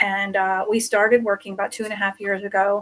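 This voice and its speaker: A woman speaks at a medium pitch. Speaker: tarot reader and wedding officiant. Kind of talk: casual panel chat.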